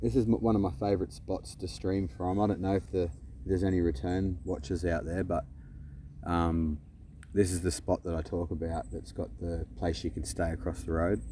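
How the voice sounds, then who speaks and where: A man talks with an Australian accent at a very deep, low pitch and a moderate pace. His tone is dark and mellow, with vocal fry. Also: ordinary pitch variation. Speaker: live streamer. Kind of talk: live stream chat. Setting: outdoors at beach. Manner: casual, rambling.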